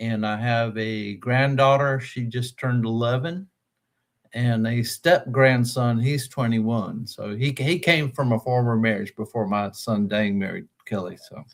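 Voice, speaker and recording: A fairly slow delivery with an American accent and ordinary pitch variation, on a very clean recording with a silent background. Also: man, medium pitch for a man. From US South, North Carolina (Raleigh). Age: 60s. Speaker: technical writer and musician with a rare disease. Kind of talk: interview. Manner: hesitant, many fillers.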